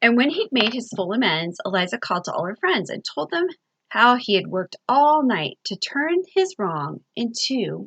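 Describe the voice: The clip is plain reading aloud, and the background stays quiet.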